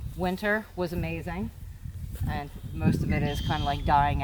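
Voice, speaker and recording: A woman with an American accent speaks at a moderate pace and a fairly low pitch. Audible room echo and noticeable background noise fill the recording. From Pennsylvania. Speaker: farmer and gardener. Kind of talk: casual farm tour.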